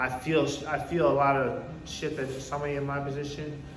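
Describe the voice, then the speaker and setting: A man talks with a New York accent. There is noticeable background noise along with audible room echo. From New York (Poughkeepsie). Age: 30s. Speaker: recovery speaker. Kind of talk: testimony. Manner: casual, halting with repetitions.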